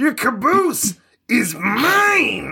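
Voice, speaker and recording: Loud and raspy, a high-pitched, put-on character voice makes very wide pitch swings. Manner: loud, booming, threatening.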